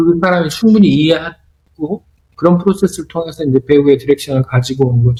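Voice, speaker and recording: With a Korean accent, a man speaks at a fairly high pitch and with ordinary pitch variation. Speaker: film director. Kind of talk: interview.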